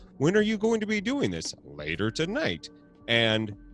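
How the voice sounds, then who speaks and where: With music in the background, the speaker uses lively intonation at a moderate pace. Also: man. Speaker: podcast host and twitch streamer. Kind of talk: casual chat. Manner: mumbles a lot; animated.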